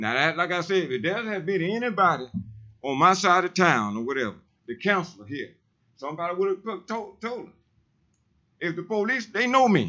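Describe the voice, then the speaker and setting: Loud and high-pitched, a man speaks at a fairly quick pace with very wide pitch swings. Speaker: public commenter, street preacher. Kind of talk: public comment at city council. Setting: city council meeting. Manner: animated.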